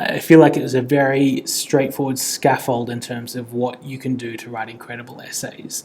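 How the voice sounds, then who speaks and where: Speaking at a moderate pace, a man with an Australian accent has a medium-pitched voice. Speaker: tutoring company director and essay teacher. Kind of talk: lecture. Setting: air-conditioned room. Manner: casual.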